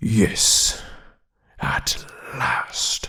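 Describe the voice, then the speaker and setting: In a put-on character voice, a man sounds raspy and rumbling. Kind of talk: soft-spoken ASMR storytelling. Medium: read story.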